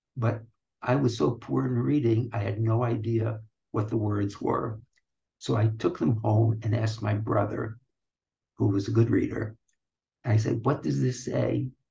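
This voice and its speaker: With an American accent, a man talks in a dark, mellow tone with vocal fry and long, frequent pauses. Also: medium pitch for a man, ordinary pitch variation, fairly slow pace. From US, New York (Brooklyn). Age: 80s+. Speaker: retired audiology professor. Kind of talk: interview, life story. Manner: slow, halting. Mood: warm, amused storytelling. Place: office. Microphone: webcam.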